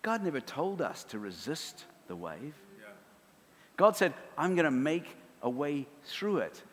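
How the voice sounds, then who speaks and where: In a New Zealand accent, a man speaks at a fairly slow pace with lively intonation. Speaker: preacher. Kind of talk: sermon. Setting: church.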